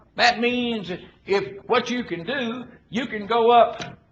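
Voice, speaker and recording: A man with a Southern US accent speaks at an extremely high pitch and a very slow pace, with audible room echo. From Arkansas. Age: 70s. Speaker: politician. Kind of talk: political speech. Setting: conference with audience. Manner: folksy, emphatic.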